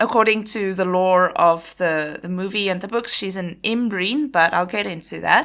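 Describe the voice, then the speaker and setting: In a very clean recording with a silent background, a woman speaks at a moderate pace in a bright, sharp tone. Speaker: podcast host. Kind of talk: solo podcast talk. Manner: hesitant, many fillers.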